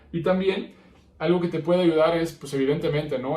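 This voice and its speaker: Somewhat breathy, a man speaks in a dark, mellow tone with fairly even intonation. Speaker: podcast host, psychologist. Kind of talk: podcast monologue.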